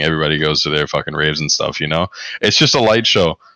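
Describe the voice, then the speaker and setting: A very fast-talking man with an American accent. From US South, North Carolina. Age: 20s. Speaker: esports coach. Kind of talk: casual interview. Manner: monotone.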